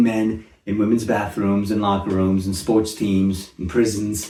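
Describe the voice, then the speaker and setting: With a dark, mellow tone, a man speaks in a somewhat breathy way. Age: 60s. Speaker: comedic commentator. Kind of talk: satirical monologue.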